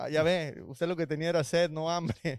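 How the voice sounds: A man's fairly high voice, clear and smooth, at a moderate pace with fairly even intonation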